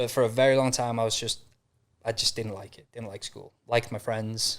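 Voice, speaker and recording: A man with a North Welsh accent talks at a fairly quick pace and medium pitch. His intonation is monotone and flat, with big swings in loudness. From North Wales. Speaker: mindset and business coach. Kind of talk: podcast interview. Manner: casual, fast with fillers.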